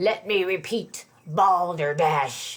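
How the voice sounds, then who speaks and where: A woman shouts in a booming, growling put-on character voice at a medium pitch. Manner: loud, shouting, pompous.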